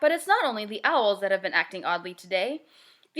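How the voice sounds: The clip features a natural reading voice.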